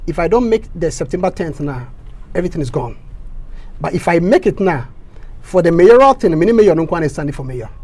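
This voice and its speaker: Speaking at a fairly quick pace with a Ghanaian accent, a man uses a high pitch and lively intonation, broken by long, frequent pauses. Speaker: local election candidate. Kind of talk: interview.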